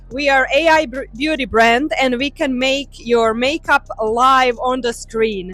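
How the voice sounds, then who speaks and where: A woman with a Croatian accent speaks at a fairly slow pace in a high voice, with ordinary pitch variation and hardly any pauses. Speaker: tech company representative. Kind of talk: interview at trade show.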